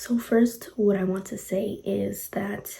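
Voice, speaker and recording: Quiet, with a dark, mellow tone and vocal fry, a woman speaks at a medium pitch with ordinary pitch variation. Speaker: motivational vlogger. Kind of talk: casual motivational talk. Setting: at home at night. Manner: quiet, lowered voice.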